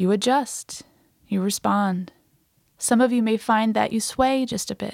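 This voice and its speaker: In an ordinary speaking voice, a woman with a fairly high pitch and fairly even intonation talks at a fairly slow pace on a very clean recording with a silent background and a dry, close sound with no echo. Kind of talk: guided meditation. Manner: slow, calm, soothing and unhurried, with gentle instructional pacing.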